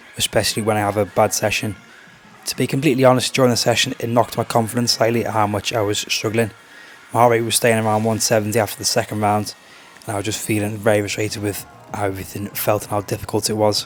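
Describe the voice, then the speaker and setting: Noticeable background noise sits behind a man speaking at a very fast pace. His pitch is fairly low and his intonation monotone and flat. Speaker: fitness vlogger and coach. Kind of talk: casual vlog narration.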